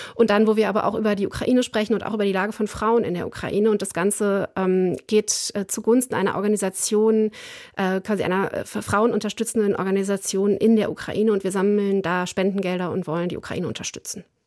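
A woman's very fast, monotone delivery at medium pitch, flat throughout. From southern Westphalia, Germany. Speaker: foreign policy expert. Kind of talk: radio interview.

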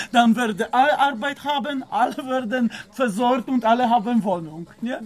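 The intonation is lively and the pace moderate. Noticeable background noise is present. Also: man. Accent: Polish. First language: Polish (speaking German). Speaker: tobacco shop worker. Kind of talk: casual chat. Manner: halting.

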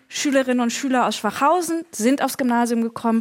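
Talking at a fairly quick pace, a woman uses a fairly high voice. Her pitch varies in an ordinary way. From northern Germany. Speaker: writer. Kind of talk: panel discussion. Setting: stage with audience.

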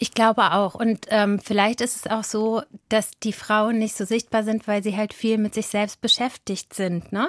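Recorded very cleanly against a silent background, a woman's ordinary speaking voice sits at a fairly high pitch with a dry, close sound and no echo. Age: 40s. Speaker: journalist and podcaster. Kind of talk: interview.

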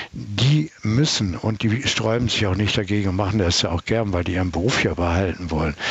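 A man's fairly low voice at a fairly quick pace, lively in intonation, very even in loudness, with hardly any pauses and noticeable background noise. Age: 70s. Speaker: traffic psychologist. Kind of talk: interview.

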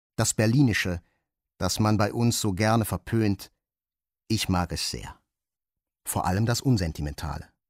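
Over a very clean recording with a silent background and a dry, close sound with no echo, a man speaks at a moderate pace in a fairly low pitch with ordinary pitch variation and long, frequent pauses. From Switzerland. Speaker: audiobook reader actor. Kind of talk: dramatic literary reading. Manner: expressive; measured, richly shaded.

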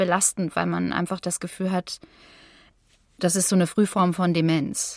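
A woman in a plain, everyday voice, medium pitch, fairly even intonation, moderate pace, dry, close sound with no echo, very clean recording with a silent background. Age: 30s. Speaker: long covid patient, singer and voice artist. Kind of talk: interview testimony.

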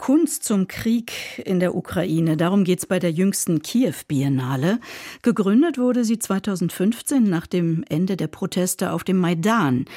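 The tone is dark and mellow, the intonation lively, and the pace fairly slow. The recording is very clean with a silent background. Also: woman, medium pitch for a woman. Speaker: radio culture show host. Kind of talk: radio news magazine presenting.

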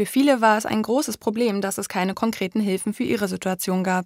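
In a very clean recording with a silent background, a woman talks at a fairly quick pace and fairly high pitch, her intonation fairly even and the sound dry and close with no echo. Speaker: radio presenter. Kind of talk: scripted narration. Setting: studio. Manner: standing while speaking.

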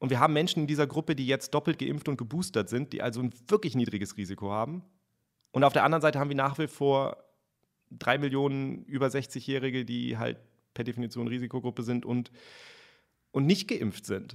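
A man speaks at a fairly quick pace with a medium pitch and ordinary pitch variation, broken by long, frequent pauses. The recording is very clean, with a silent background. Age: 30s. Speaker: science journalist. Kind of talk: interview.

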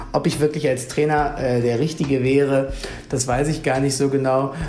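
Over noticeable background noise and audible room echo, a man talks at medium pitch in a monotone, flat delivery. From Lower Saxony, Germany. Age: 30s. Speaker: youth wing politician. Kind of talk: radio interview.

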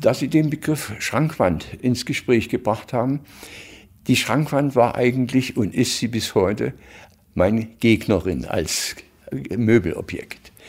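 A very slow pace with ordinary pitch variation. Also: man, medium pitch for a man. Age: 80s+. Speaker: furniture designer. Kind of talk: interview. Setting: at home, living room. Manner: lively.

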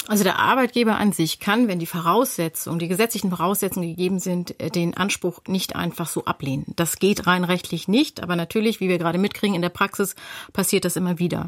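The dry, close recording with no echo captures a woman talking very fast at a medium pitch, with ordinary pitch variation. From North Rhine-Westphalia. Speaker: lawyer. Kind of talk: expert explanation on radio.

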